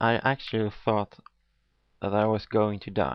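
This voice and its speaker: Pitched fairly low, a man talks with a non-native accent. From not America. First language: not English. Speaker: atheist video blogger. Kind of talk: video monologue response. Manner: halting.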